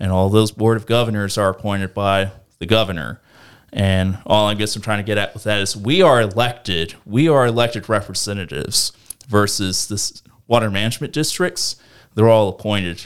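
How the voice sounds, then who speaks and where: A man with an American accent and an unremarkable speaking voice, fairly low in pitch, with ordinary pitch variation at a fairly quick pace. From US South, northeast Florida. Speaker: local elected official, engineer. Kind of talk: casual interview.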